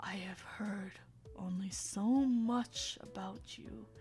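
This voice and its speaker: A booming, put-on character voice moves at a very slow pace over light background noise. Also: woman, medium pitch for a woman. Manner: ominous.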